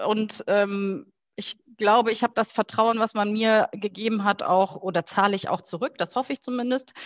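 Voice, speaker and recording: A woman with an ordinary speaking voice talks at a moderate pace in a fairly high pitch with fairly even intonation. The sound is dry and close with no echo, and the background is quiet. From Rhineland, Germany (Heinsberg). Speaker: football club marketing manager. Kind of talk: interview, casual chat.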